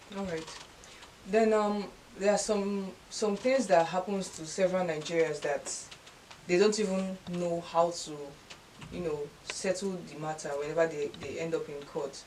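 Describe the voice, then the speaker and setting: Amid noticeable background noise, a woman speaks with long, frequent pauses. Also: medium pitch for a woman, ordinary pitch variation, moderate pace, big swings in loudness. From Nigeria. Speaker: talk show host. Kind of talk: interview question. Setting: studio. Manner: occasionally stuttering.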